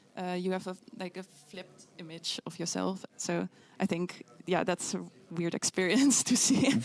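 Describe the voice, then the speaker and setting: With a Dutch accent, a woman speaks at a medium pitch and moderate pace with ordinary pitch variation, in a dry, close sound with no echo. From Netherlands. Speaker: physics student. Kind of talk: interview answer. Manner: hesitant.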